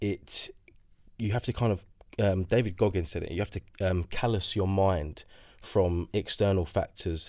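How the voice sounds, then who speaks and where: A man speaks at a moderate pace, his intonation fairly even. He leaves long, frequent pauses, and the recording is very clean with a silent background. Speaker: co-host. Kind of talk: casual interview chat.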